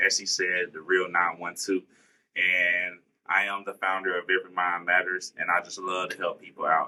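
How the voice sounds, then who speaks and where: The speaker uses a monotone, flat intonation in a Southern US accent. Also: man, very deep, low pitch for a man, moderate pace. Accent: Southern country. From US South, Statesboro, Georgia. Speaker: college student. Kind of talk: podcast interview.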